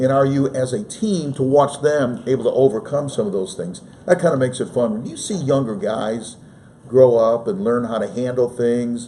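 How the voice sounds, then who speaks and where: A man's plain, everyday voice at medium pitch, lively in intonation and moderate in pace. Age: 60s. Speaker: sports play-by-play broadcaster. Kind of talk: casual interview. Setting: studio, live stream.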